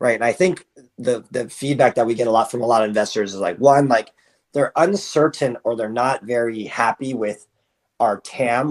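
In a plain, everyday voice, a man with an American accent talks at a fairly quick pace and medium pitch with ordinary pitch variation, the sound dry and close with no echo against a quiet background. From US Mid-Atlantic (Potomac, Maryland). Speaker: startup founder and CEO. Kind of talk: interview.

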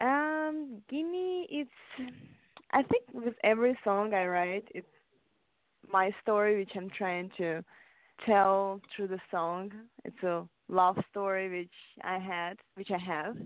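A woman speaks at a very slow pace. Her pitch is medium and her intonation lively. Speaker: singer. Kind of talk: interview.

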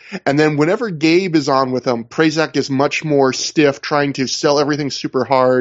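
A man with a normal speaking voice, fairly high pitch, moderate pace, very even loudness, fairly even intonation and hardly any pauses. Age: 30s. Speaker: wrestling podcast host. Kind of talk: casual chat.

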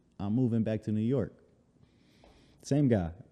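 In a Chicago accent, the speaker talks at a fairly quick pace with a dark, mellow tone. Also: man. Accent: Chicago American. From Chicago, north side (Uptown). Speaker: basketball trainer and fitness entrepreneur. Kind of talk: casual interview chat.

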